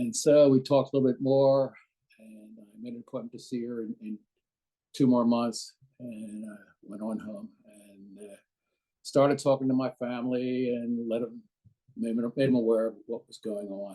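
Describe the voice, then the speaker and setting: In an American accent, a man with a dark, mellow tone keeps his intonation fairly even while his loudness swings widely. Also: medium pitch for a man, moderate pace. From Philadelphia, Pennsylvania. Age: 70s. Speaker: patient sharing his experience. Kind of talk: testimony. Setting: webinar.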